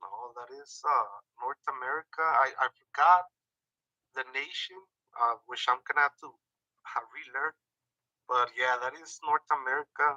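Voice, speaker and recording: A man's bright, sharp voice comes through dry and close, with no echo. His intonation stays fairly even while loudness swings widely, broken by long, frequent pauses. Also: fairly high pitch for a man, moderate pace. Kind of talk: casual chat. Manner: halting, many fillers.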